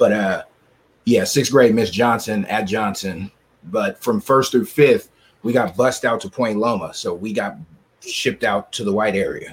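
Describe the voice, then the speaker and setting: Speaking at a moderate pace, a man uses an unremarkable speaking voice with medium pitch and lively intonation. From San Diego, California. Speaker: podcast host. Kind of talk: casual chat.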